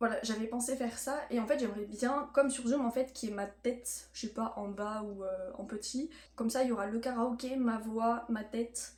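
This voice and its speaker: The intonation stays fairly even as the speaker moves at a moderate pace with hardly any pauses. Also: woman, fairly high pitch for a woman. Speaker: student vlogger. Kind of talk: casual vlog talk. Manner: hesitant, many fillers.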